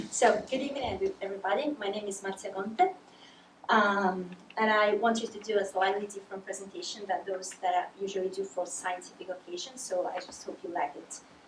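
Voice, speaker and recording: Over noticeable background noise, a woman talks at a fairly quick pace in a medium pitch. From Sicily, Italy. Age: 20s. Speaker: PhD student researcher. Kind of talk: award acceptance presentation. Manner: halting. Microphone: too far from the mic.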